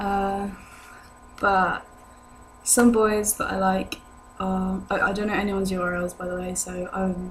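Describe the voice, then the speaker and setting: The speech comes at a fairly slow pace with monotone, flat intonation and audible room echo. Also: woman. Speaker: vlogger. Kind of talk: casual chat. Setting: indoors at home. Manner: hesitant, many fillers.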